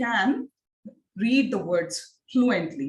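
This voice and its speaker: A somewhat breathy voice with an Indian accent carries lively intonation. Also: woman. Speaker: phonics teacher trainer. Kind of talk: online training lecture. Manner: repetitive, interactive questioning.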